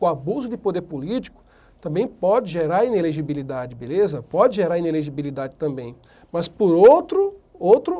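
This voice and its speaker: This man's pitch is high and moves through very wide swings. His tone is dark and mellow. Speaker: law lecturer. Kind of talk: lecture. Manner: fast at times; casual, conversational.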